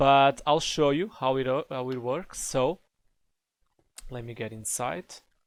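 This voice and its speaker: Speaking with a non-native accent, a man uses a medium pitch and ordinary pitch variation at a fairly slow pace. His loudness swings widely, and long, frequent pauses break up his speech. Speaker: Minecraft tutorial creator. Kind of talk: game tutorial narration. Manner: casual, hesitant.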